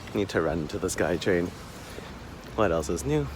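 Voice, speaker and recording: Noticeable background noise sits behind a soft-spoken man. His pitch swings very widely. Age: 20s. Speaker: vlogger. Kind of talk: personal vlog.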